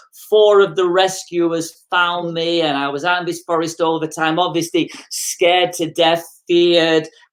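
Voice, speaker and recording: A woman with an English accent speaks at a moderate pace in a fairly low, monotone, flat voice. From England, Manchester. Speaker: motivational speaker. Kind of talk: interview, personal story.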